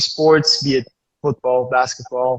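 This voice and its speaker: A man speaks at a fairly slow pace in a monotone, flat intonation. His voice is somewhat breathy. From Switzerland. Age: 20s. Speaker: livestream participant, basketball player. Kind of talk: casual discussion. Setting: Instagram live stream. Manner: hesitant, many fillers.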